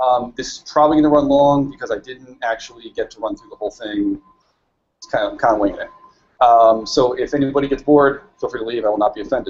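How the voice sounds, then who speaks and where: A man talks at a very fast pace. His loudness swings widely. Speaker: meetup speaker, software developer; speaker. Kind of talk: tech talk presentation. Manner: quiet. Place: meeting room.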